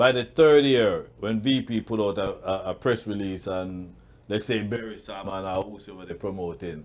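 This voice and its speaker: In a very clean recording with a silent background, a man with an unremarkable speaking voice talks at a moderate pace. His pitch is fairly low with ordinary variation, and his loudness swings widely. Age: 60s. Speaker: awards show founder. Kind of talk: interview.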